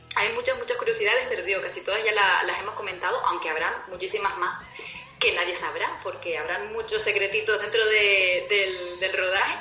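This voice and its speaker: A woman speaks at a fairly quick pace in a Canarian accent, with audible room echo and noticeable background noise. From Canary Islands. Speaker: film discussion panelist. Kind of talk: casual chat.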